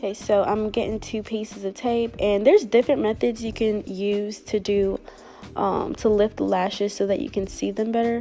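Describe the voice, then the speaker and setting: A woman's fairly high voice at a moderate pace, with fairly even intonation and music in the background. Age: 20s. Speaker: lash technician. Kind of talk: tutorial voice-over. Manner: casual, conversational.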